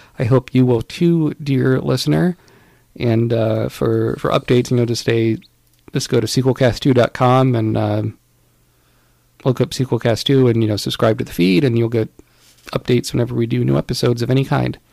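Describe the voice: A man speaks at a moderate pace in a medium pitch, his slightly mellow tone touched with vocal fry and his intonation fairly even.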